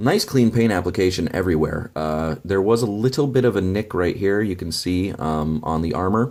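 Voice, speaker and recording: Quiet and very deep in pitch, a man speaks at a moderate pace with ordinary pitch variation. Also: very clean recording, silent background. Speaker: toy reviewer. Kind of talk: product review. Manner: quiet, low energy; hesitant, many fillers.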